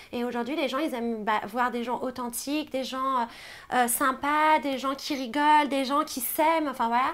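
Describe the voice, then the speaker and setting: At a fairly slow pace, a woman speaks in a high voice with fairly even intonation. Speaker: reality TV contestant. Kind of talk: interview. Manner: hesitant, many fillers.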